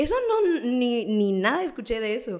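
A woman with a fairly high voice moves through very wide pitch swings. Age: 20s. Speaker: law student. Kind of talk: casual chat.

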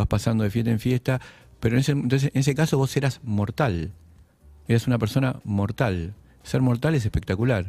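Over a silent background in a very clean recording, a man talks at a fairly quick pace with a somewhat breathy, dark, mellow tone, medium pitch, ordinary pitch variation and very even loudness. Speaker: writer and poet. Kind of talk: casual interview.

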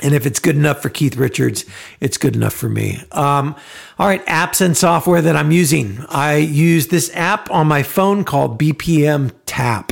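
A man's fairly high voice at a moderate pace, loudness very even, pitch varying in an ordinary way. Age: 40s. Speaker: podcast host and aspiring songwriter. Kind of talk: solo podcast monologue. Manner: halting, many fillers.

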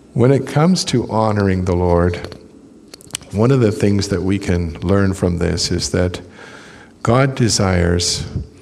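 A man speaks at a fairly slow pace with a very deep, low pitch, very even loudness and ordinary pitch variation. His long, frequent pauses sit over noticeable background noise. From British Columbia, Canada. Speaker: visiting preacher. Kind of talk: sermon. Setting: church.

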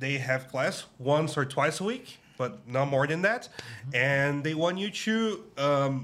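A man with a strong Brazilian accent speaks at a fairly high pitch in a bright, sharp tone, with ordinary pitch variation. His pace is fairly slow. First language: Portuguese. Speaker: podcast host, English teacher. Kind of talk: casual chat.

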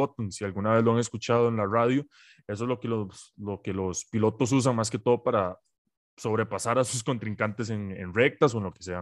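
Against a quiet background, a man speaks at a moderate pace and medium pitch in a Costa Rican accent. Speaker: podcast host. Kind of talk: casual chat.

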